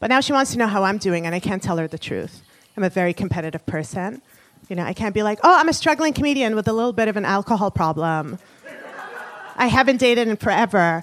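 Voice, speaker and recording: Over noticeable background noise, a woman speaks very fast with lively intonation. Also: medium pitch for a woman. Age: 30s. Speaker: comedian. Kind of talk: stand-up. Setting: stage with audience.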